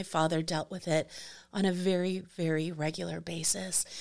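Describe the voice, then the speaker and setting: In a normal speaking voice, a woman talks at a moderate pace. Her pitch is fairly low, and her intonation fairly even. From New York City. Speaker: property manager and graduate student. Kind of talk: casual interview conversation. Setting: studio.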